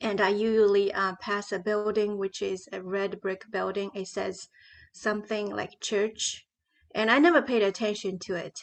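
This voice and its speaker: A woman in a Chinese accent speaks at a moderate pace with a medium pitch and fairly even intonation. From China. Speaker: novelist. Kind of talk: panel interview.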